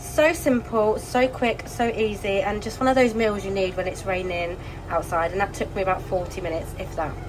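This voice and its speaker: A woman speaks with an English accent and ordinary pitch variation. Noticeable background noise runs behind her. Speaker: lifestyle vlogger. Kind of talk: casual vlog chat. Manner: loud.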